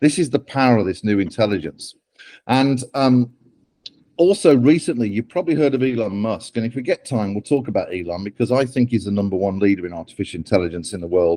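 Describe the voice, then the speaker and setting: A man with a British accent talks at a very fast pace, his medium-pitched voice dark and mellow in tone, with lively intonation over a quiet background. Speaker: AI ethics author and speaker. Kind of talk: talk to interns.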